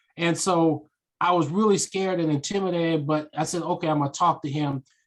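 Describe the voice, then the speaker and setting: Against a quiet background, a man with a fairly high pitch talks at a fairly quick pace in an animated tone. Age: 60s. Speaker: author and speaker. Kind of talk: interview conversation. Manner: animated storytelling.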